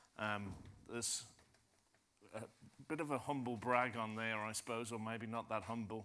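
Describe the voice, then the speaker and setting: A bright, sharp tone comes through audible room echo at a moderate pace, broken by long, frequent pauses. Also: man, medium pitch for a man. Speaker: industry analyst. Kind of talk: conference presentation.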